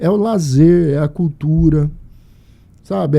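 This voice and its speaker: With a fairly high pitch, the man's voice carries a dark, mellow tone. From Brazil, Mato Grosso (Sinop). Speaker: podcast host. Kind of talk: casual chat.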